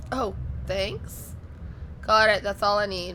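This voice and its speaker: The recording of this woman has audible room echo. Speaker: gaming youtuber. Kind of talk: let's play commentary. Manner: casual, hesitant with fillers.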